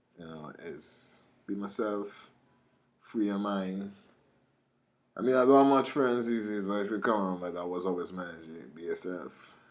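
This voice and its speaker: At a moderate pace, a man with a Trinidadian accent and fairly low pitch speaks with ordinary pitch variation, big swings in loudness, long, frequent pauses, and audible room echo. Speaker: rapper. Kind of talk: casual monologue. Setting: studio.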